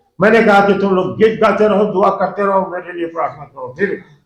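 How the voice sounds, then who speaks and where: Keeping a fairly even intonation, a man speaks at a moderate pace in a high voice. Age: 80s+. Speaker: pastor. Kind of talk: sermon.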